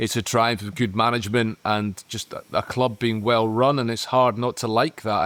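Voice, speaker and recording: A man with a Scottish accent speaks at a moderate pace and medium pitch. The sound is dry and close, with no echo. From Scotland. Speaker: football podcast pundit. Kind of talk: casual chat. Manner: halting.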